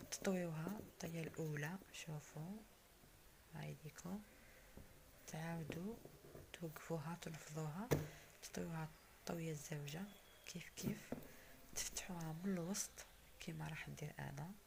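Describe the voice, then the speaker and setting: A fairly low-pitched woman with an Algerian accent, at a fairly slow pace, with fairly even intonation and long, frequent pauses. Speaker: cooking channel host. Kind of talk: cooking tutorial.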